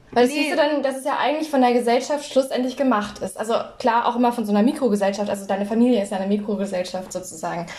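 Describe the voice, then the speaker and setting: A woman with a high voice talks very fast, barely pausing, over noticeable background noise. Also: ordinary pitch variation. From northern Germany, North Frisia. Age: 20s. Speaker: podcast co-host. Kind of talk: casual chat.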